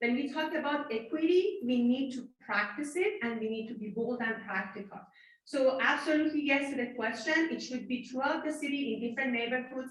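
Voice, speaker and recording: Audible room echo surrounds a woman speaking at a high pitch. She talks at a fairly quick pace with ordinary pitch variation. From Iran. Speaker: city council candidate. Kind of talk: candidate debate answer.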